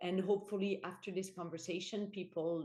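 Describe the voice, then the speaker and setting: A woman with a French accent speaks in a dark, mellow tone. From France. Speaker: corporate board director. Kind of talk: podcast interview. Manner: halting, many fillers and repetitions.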